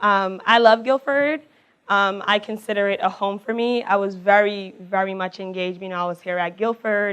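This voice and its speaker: The woman's pitch sits in the middle range, and her intonation stays fairly even. The background is quiet. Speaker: college alumna speaker. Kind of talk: public talk. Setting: stage with audience. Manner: fast.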